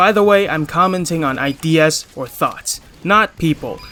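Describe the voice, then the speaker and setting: A high-pitched man with ordinary pitch variation keeps a moderate pace, and noticeable background noise is present. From Hong Kong. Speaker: gaming commentator. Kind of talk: video commentary.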